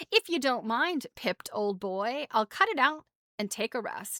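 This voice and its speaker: A woman does a raspy, high-pitched put-on character voice at a moderate pace, in a dry, close sound with no echo on a very clean recording with a silent background. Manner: weary, blunt.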